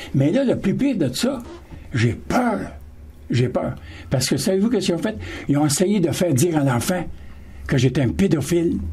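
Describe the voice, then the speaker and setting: The pitch swings very widely while the loudness stays very even, with long, frequent pauses. Room echo is audible. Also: man, moderate pace. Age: 70s. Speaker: panel guest. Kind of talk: radio panel discussion.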